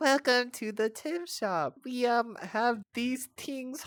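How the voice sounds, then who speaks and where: Very slow and fairly high-pitched, a put-on character voice comes through a very clean recording with a silent background. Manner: silly, goofy.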